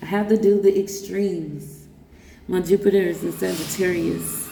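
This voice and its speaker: Noticeable background noise sits under a voice with an animated tone. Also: woman. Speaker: vlogger. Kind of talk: personal vlog monologue. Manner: halting, stuttering at times.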